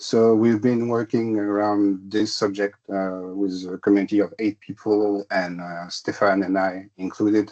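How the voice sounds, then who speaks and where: Over a quiet background, a man with a French accent speaks fairly slowly at a fairly low pitch in a monotone, flat intonation. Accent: non-native English, French-speaking. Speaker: tech consultant presenter. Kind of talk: technical presentation. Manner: hesitant, many fillers.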